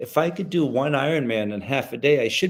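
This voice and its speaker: A man with an American accent and a plain, everyday voice talks fairly quickly, with a fairly high pitch and lively intonation. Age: 60s. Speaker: retired special forces soldier. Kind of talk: interview.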